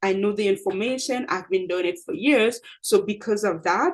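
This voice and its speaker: A woman with a non-native accent, a fairly high pitch, lively intonation and a moderate pace, against a quiet background. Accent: noticeable non-native. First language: not English. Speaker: accountant and presentation skills coach. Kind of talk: tutorial. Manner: casual, repetitive with fillers.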